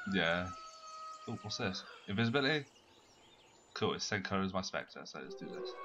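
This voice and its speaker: A man with a British accent and a fairly low pitch talks at a fairly quick pace with lively intonation. He leaves long, frequent pauses, and noticeable background noise is present. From Britain. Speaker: gaming channel host. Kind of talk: casual gaming chat.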